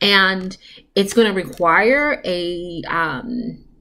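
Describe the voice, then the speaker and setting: This is an unremarkable speaking voice from a woman. Her pitch sits in the medium range with ordinary variation. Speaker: tarot reader for entrepreneurs. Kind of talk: tarot reading monologue. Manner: casual, filler-heavy.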